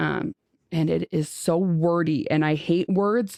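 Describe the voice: A woman with a low voice is recorded dry and close with no echo, in a very clean recording with a silent background. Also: slightly mellow tone.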